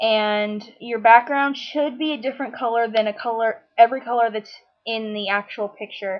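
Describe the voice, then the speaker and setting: A woman with a plain, everyday voice speaks at a moderate pace in a fairly high pitch with fairly even intonation. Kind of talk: software tutorial narration.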